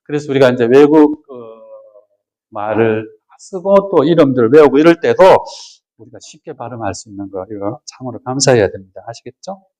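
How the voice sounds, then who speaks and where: In a dry, close recording with no echo, a man with a medium-pitched, dark, mellow voice talks at a fairly quick pace with lively intonation, big swings in loudness, and long, frequent pauses. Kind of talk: lecture. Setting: retreat with audience.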